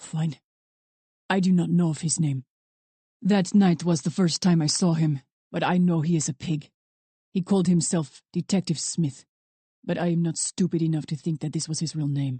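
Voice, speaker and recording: A woman speaks in a put-on character voice, fairly low in pitch, at a moderate pace. Long pauses come often. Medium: read story. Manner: stiff, clipped, proud.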